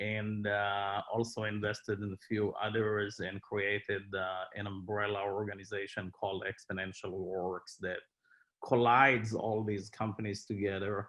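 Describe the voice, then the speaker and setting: This man's fairly low voice stays monotone, with flat intonation throughout. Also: moderate pace. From Israel. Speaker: tech company executive. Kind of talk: panel discussion. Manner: halting, many fillers.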